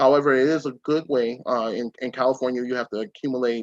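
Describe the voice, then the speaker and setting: Here is an ordinary speaking voice: a man at medium pitch and moderate pace, in a dry, close sound with no echo. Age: 30s. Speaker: private investigator. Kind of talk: webinar interview.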